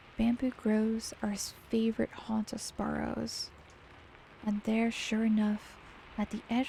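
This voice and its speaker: A woman with a fairly high pitch and a soothing tone speaks at a fairly slow pace against noticeable background noise. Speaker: VTuber. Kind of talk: bedtime story reading. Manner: slow, soothing.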